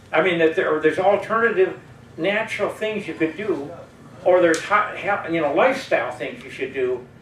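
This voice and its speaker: Over noticeable background noise, a man speaks high for a man with lively intonation. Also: moderate pace. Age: 80s+. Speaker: audience member at public discussion forum. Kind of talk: open forum comment. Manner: halting.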